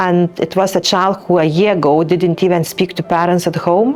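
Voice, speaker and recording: A woman with a non-native accent and fairly even intonation, over noticeable background noise. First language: not English. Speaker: teacher. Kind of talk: interview testimony. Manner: hesitant, many fillers.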